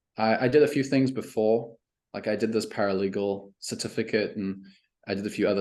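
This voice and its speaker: With a quiet background, a man talks at a fairly quick pace. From South Africa and Canada, raised mostly in Canada from teens. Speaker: email marketing coach. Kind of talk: podcast interview.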